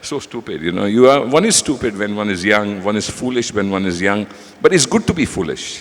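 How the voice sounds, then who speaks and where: A man speaks in a normal speaking voice with a fairly low pitch. His pitch variation is ordinary and his pace is moderate. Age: 60s. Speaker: business leader. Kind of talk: panel talk.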